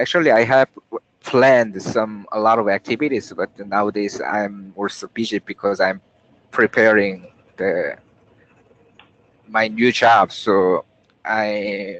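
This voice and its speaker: With long, frequent pauses, a man talks in a fairly low pitch. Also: fairly even intonation, fairly slow pace. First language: not English. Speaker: software developer, team lead. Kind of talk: work meeting. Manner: halting, searching for words.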